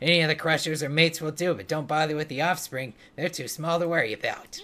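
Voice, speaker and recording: A man rattles off lines at a very fast pace in a put-on character voice pitched fairly high. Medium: game stream. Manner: chatty, busy, practical.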